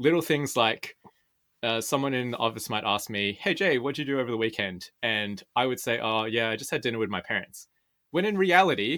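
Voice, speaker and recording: Bright and sharp, the voice comes with an Australian accent at a fairly quick pace. The recording is very clean, with a silent background. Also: man. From Sydney, Australia. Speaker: podcaster. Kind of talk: interview.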